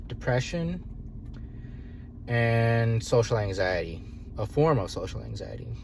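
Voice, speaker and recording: Audible room echo and noticeable background noise surround a man who speaks at a fairly slow pace. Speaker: video diarist. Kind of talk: personal video diary. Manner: halting, filler-heavy.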